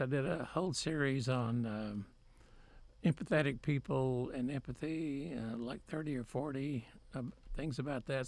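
A man with a Texan accent at medium pitch, moderate pace and ordinary pitch variation. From Texas, Waco. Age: 70s. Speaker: painter. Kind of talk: interview. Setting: studio.

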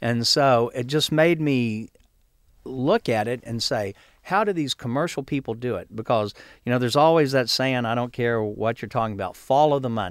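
Over a very clean recording with a silent background, a man with an ordinary speaking voice talks at a medium pitch and moderate pace with lively intonation. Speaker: gardening magazine owner. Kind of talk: casual chat. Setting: studio.

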